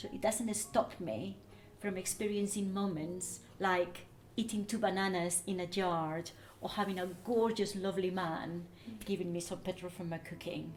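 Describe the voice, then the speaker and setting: Somewhat breathy, a woman talks at medium pitch and a moderate pace with fairly even intonation. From Spain. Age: 60s. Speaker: long-distance cyclist. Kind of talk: interview.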